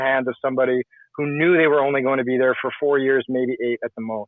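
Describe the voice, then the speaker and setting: In a monotone, flat delivery, a man talks at a fairly high pitch. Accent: Canadian. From Canada, Saskatchewan. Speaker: call-in participant. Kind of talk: casual political discussion.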